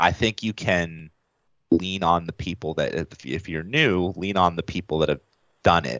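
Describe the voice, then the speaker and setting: A man with an American accent, very deep, low pitch, vocal fry and ordinary pitch variation at a moderate pace. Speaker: wedding videographer. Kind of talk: casual interview.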